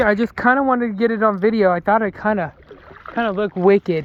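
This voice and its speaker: Against noticeable background noise, a man with a high pitch for a man talks at a fairly quick pace. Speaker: outdoor vlogger. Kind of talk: casual vlog narration. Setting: outdoors, kayaking on a creek. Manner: halting.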